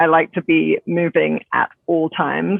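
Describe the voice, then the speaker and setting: A woman's fairly low-pitched voice with a British accent. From England. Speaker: zero waste grocery co-founder. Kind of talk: podcast interview.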